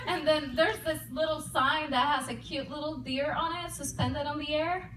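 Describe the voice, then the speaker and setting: A Puerto Rican accent with audible room echo and noticeable background noise. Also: woman. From Puerto Rico. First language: Spanish. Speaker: comedian and army veteran. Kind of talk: stand-up. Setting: stage with audience.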